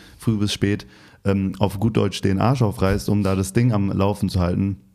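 A dark, mellow tone with a slight Hessian accent, fairly even intonation and a moderate pace, on a very clean recording with a silent background. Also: man. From Hesse, Turkish-German family. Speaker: podcast host. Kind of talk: interview.

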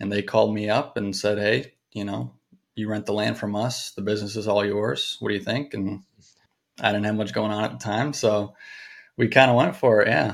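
Recorded very cleanly against a silent background, a man speaks at a moderate pace in a fairly low pitch, with ordinary pitch variation and vocal fry. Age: 20s. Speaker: driving range owner and golf instructor. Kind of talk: casual interview. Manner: composed; mature-sounding.

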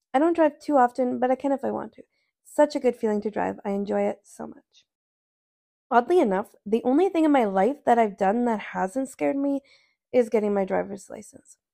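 A woman has a plain, everyday voice with a fairly high pitch and lively intonation. She talks at a fairly quick pace with big swings in loudness. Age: 20s. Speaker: podcast host and speaker. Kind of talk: testimony speech. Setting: women's event.

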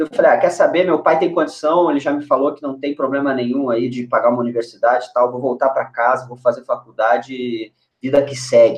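A plain, everyday voice at a fairly quick pace with hardly any pauses, ordinary pitch variation, and big swings in loudness. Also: man, fairly high pitch for a man. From Brazil, moved between Niterói, Porto Alegre and Curitiba. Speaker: former footballer, US college soccer advisor. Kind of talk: casual chat. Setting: video call livestream.

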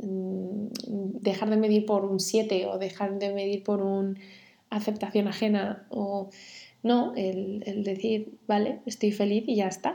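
Very slow and flat in a monotone, a woman speaks with a dark, mellow tone. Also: medium pitch for a woman. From Spain, Cantabria (Santander). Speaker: designer. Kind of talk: interview. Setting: in the host's home.

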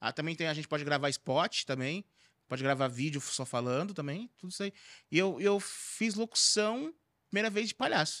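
A fairly high male voice, bright and sharp in tone with lively intonation, dry and close with no echo, on a very clean recording with a silent background. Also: moderate pace. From Brazil, Carapicuíba (São Paulo). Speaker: clown and comedian. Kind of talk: casual chat.

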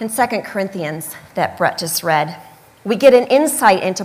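With a Midwestern accent, a woman speaks at a medium pitch with lively intonation. Noticeable background noise is present. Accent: American Midwest. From US Midwest, Michigan. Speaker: preacher. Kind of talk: sermon.

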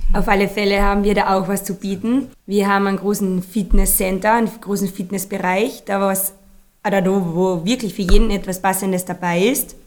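A woman at a moderate pace, monotone with flat intonation. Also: medium pitch for a woman. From Austria, Carinthia. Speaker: activity guide and yoga teacher. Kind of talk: casual interview.

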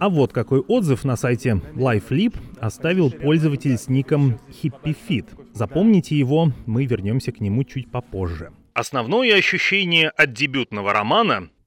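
Noticeable background noise sits behind a man at a medium pitch, speaking at a moderate pace with very wide pitch swings in a dry, close sound with no echo. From Vorkuta, northern Russia. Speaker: podcast host. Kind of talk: scripted narration.

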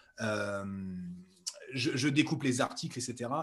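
Pitched at a medium level, a man speaks with ordinary pitch variation. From central France. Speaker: speed skier and entrepreneur. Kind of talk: interview. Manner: halting, many fillers.

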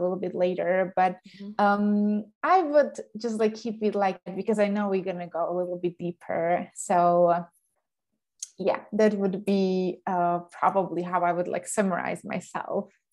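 A woman speaks at a moderate pace with a Slovak accent. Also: medium pitch for a woman, fairly even intonation. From Slovakia. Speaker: online business coach. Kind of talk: interview.

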